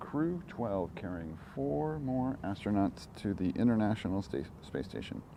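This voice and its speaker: A man talks at a fairly low pitch with a dark, mellow tone. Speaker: launch livestreamer. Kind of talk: live commentary. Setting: outdoors near condos. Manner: quiet, not talking loud.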